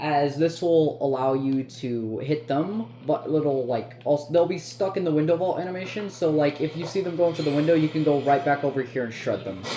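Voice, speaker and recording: A man talks at a fairly quick pace in a fairly high voice with ordinary pitch variation. Noticeable background noise sits behind him. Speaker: gaming content creator. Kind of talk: gameplay tutorial commentary. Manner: halting, many fillers and restarts.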